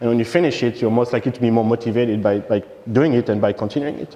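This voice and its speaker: There is noticeable background noise. A man talks very fast in a French accent. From France. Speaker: software engineer, conference speaker. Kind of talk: conference talk. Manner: halting, many fillers.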